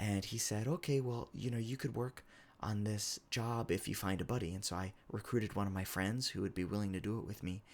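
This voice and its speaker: On a very clean recording with a silent background, a man with an American accent speaks fairly quickly in an ordinary speaking voice, at a fairly low pitch with ordinary pitch variation. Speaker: game developer. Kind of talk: casual talk to camera.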